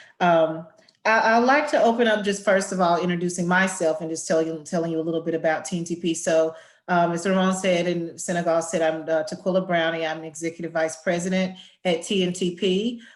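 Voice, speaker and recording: Here a woman talks at a fairly quick pace in a Southern US accent. Her intonation is fairly even. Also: fairly low pitch for a woman. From Arkansas Delta, US South. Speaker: education nonprofit executive, panel moderator. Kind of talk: webinar panel moderation. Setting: online webinar.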